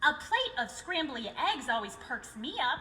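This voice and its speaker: A woman puts on a high-pitched character voice with very wide pitch swings at a moderate pace. Background noise is clearly heard. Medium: read story.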